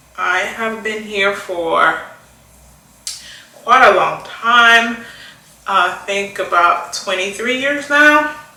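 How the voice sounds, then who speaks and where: A woman speaks at a very slow pace with lively intonation and long, frequent pauses, over noticeable background noise and audible room echo. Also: fairly high pitch for a woman. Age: 40s. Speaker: beauty vlogger. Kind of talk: casual chat while doing makeup.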